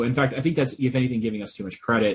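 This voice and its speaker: With an American accent, a man talks in a somewhat breathy voice of medium pitch. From US Northeast, Boston area. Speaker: professor. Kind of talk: interview.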